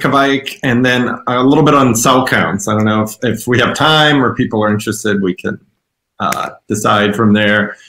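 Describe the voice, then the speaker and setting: Bright and sharp in tone, the speaker talks with an American accent. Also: man. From US Midwest. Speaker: yeast company representative. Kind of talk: presentation. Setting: video call. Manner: loud.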